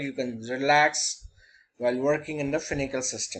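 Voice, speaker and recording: Fairly high for a man, this voice is a normal speaking voice with fairly even intonation and a moderate pace. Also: quiet background. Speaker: banking software trainer. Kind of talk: tutorial.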